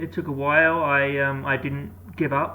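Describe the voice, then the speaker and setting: There is noticeable background noise. Over it, a man speaks at a medium pitch. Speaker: cochlear implant user. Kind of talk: casual talk to camera.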